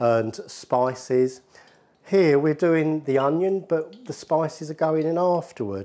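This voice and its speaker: A man with a dark, mellow tone talks at a fairly slow pace. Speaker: presenter. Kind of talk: cooking tutorial. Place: kitchen.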